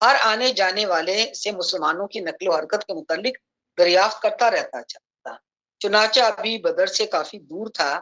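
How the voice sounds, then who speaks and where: Her voice sits fairly high with a bright, sharp tone, and this woman uses ordinary pitch variation. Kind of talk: Islamic lecture / sermon (bayan) on early Islamic history. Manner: explanatory, narrative retelling of a historical event.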